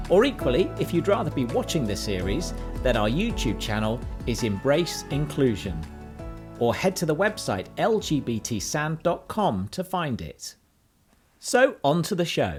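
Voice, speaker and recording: A man talks at a moderate pace. Background music accompanies him. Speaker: podcast host. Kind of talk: podcast intro read.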